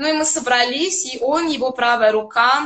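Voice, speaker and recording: A woman's high voice with ordinary pitch variation, a fairly slow pace and a quiet background. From Azerbaijan. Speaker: classical violinist. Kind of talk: interview. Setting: video call. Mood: calm, friendly storytelling. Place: home room. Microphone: video call.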